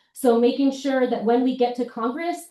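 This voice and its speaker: A woman speaks in a high pitch with a dark, mellow tone. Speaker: congressional candidate. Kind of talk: campaign speech at a town hall. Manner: fast.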